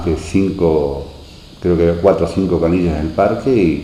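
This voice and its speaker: Over noticeable background noise and audible room echo, a man with a very deep, low voice speaks fairly slowly in fairly even intonation. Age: 60s. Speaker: local resident, former beach resort concessionaire. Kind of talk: oral history interview. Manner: hesitant, many fillers.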